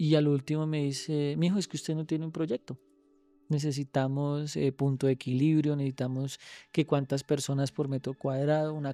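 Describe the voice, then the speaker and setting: A man's dark, mellow tone in a monotone, flat intonation, with a dry, close sound and no echo. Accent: Bogotá. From Cundinamarca, Colombia. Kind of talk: podcast interview answer.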